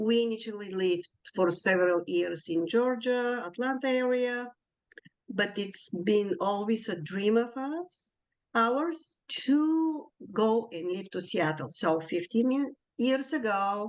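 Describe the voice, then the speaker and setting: In a Bulgarian accent, a woman speaks very slowly, her fairly high voice carrying lively intonation. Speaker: community board member. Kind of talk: self-introduction.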